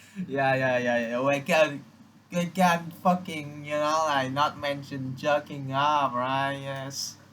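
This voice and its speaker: A man mumbles very slowly in a fairly high voice with fairly even intonation. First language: Vietnamese. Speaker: vlogger. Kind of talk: casual monologue to camera. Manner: mumbling.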